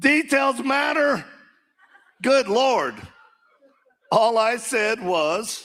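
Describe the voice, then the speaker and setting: A man's extremely high voice at a very slow pace, with lively intonation and long, frequent pauses. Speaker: political candidate. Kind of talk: campaign speech.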